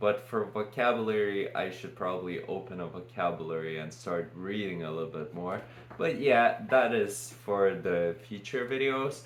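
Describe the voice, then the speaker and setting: A man's fairly low voice in a Lithuanian accent, with ordinary pitch variation, a moderate pace, hardly any pauses and audible room echo. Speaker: vlogger. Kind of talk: casual unscripted monologue. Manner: halting.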